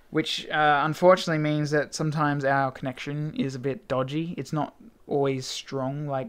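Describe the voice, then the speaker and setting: Speaking at a moderate pace, a man with an Australian accent uses a fairly high pitch and fairly even intonation in a very clean recording with a silent background. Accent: Australian, milder than many. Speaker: gaming video blogger. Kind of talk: casual vlog talk. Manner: hesitant, many fillers.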